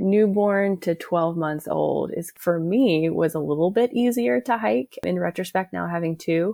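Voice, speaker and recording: Dark, mellow tone with an American accent, lively intonation and a fairly slow pace on a very clean recording with a silent background. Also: woman. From Oklahoma, US. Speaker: physical therapist and hiking mom. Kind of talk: interview.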